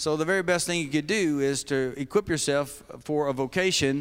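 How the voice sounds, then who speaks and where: With a Kentucky accent, a man speaks at a fairly quick pace. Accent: Southern US (Kentucky). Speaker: denominational mission leader. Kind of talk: sermon-style talk to seminary students.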